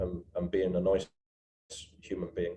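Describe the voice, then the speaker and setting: A man with an English accent at a moderate pace. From England. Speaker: seafarer. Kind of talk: panel discussion. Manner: halting, many fillers and repeats.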